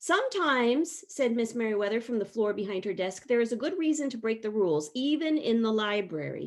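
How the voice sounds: In a natural reading voice, the speaker's intonation rises and falls in a lively way.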